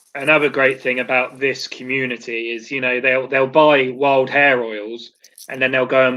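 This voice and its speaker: Speaking at a moderate pace with a southern English accent, a man keeps a medium pitch and a monotone, flat intonation. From southern England. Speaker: beard oil brand owner and video host. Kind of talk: casual chat.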